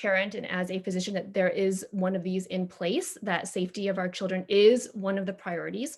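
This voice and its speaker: The woman's pace is fairly quick. Her intonation stays fairly even. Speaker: parent speaking at public comment, physician. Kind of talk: public comment at board meeting. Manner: fast; hesitant, many fillers.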